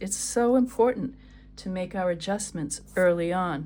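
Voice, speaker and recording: The speaker is soft-spoken and somewhat breathy, moving at a fairly slow pace. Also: woman. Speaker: art teacher. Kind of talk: painting tutorial. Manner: soft-spoken while thinking.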